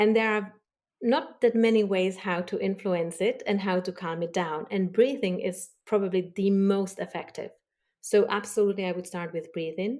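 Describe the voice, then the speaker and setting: Very clean recording with a silent background of a woman with a non-native accent, medium pitch and ordinary pitch variation. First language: not English. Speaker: body language expert. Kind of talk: podcast interview. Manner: slow.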